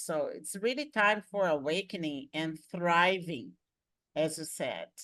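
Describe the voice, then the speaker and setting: At a very slow pace, a woman speaks with a fairly low pitch and lively intonation. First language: Portuguese. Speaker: podcast host. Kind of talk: interview.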